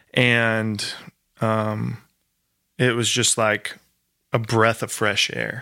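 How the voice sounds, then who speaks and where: The speaker has a bright, sharp tone and monotone, flat intonation. The pace is very slow, with long, frequent pauses. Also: man, medium pitch for a man. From rural Maryland, US. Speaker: musician and former missionary. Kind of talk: interview.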